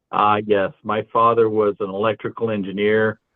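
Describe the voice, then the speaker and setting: A man's fairly low pitch in a monotone, flat intonation. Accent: American. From California. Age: 60s. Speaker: kitchen and bath designer. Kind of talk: round table discussion.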